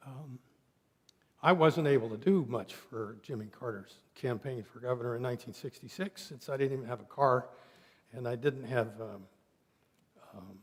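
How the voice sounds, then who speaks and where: With an American accent, a man speaks at a moderate pace and medium pitch with ordinary pitch variation, somewhat breathy, with big swings in loudness and long, frequent pauses. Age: 70s. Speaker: minister. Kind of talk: sermon. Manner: halting.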